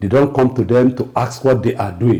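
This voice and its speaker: A man talks at a fairly quick pace with vocal fry. His tone is dark and mellow. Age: 60s. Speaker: political commentator. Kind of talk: political talk show discussion. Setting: TV studio.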